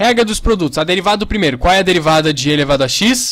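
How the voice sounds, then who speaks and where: This man talks at a very fast pace. His pitch is high. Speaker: math teacher. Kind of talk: tutorial.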